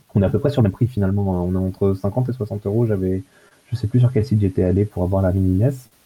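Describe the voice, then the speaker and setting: A fairly low-pitched man at a very fast pace, with fairly even intonation. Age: 20s. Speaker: computer hobbyist. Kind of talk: casual chat. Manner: halting.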